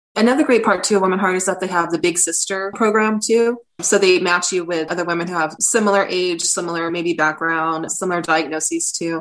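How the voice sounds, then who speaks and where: An unremarkable speaking voice: a woman with an American accent at a fairly low pitch with ordinary variation. She talks at a fairly quick pace with hardly any pauses. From Southern California, San Diego area. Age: 40s. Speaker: patient advocate. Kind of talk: testimony.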